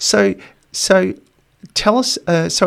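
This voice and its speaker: A man is talking. He speaks with an Australian accent. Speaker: podcast host and lecturer. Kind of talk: casual interview conversation.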